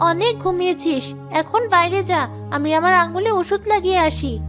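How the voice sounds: A female-sounding cartoonish character voice at an extremely high pitch moves at a moderate pace over clear background music.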